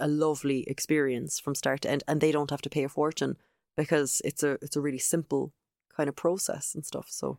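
A woman with an Irish accent and a very deep, low pitch speaks at a fairly quick pace in a monotone, flat intonation, on a very clean recording with a silent background. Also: dry, close sound with no echo. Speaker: video trainer. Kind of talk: casual interview chat.

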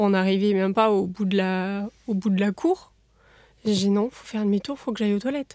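A woman speaks at a medium pitch with a dark, mellow tone. Her intonation is fairly even, and the sound is dry and close with no echo. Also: moderate pace. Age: 20s. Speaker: patient with chronic bowel disease. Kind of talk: testimony. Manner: halting.

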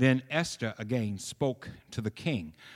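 The pitch moves in an ordinary way across this natural reading voice.

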